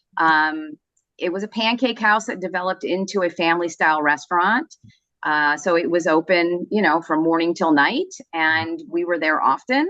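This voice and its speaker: A woman speaks at a moderate pace in a fairly low pitch. Her pitch varies in an ordinary way. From US, Southern California (born in Vancouver, Canada). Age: 60s. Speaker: lawyer. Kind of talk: interview.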